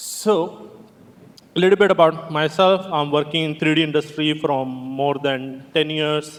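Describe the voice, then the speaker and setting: There is noticeable background noise behind this man. He speaks at a fairly high pitch with fairly even intonation. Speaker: game environment artist, conference speaker. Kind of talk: conference talk.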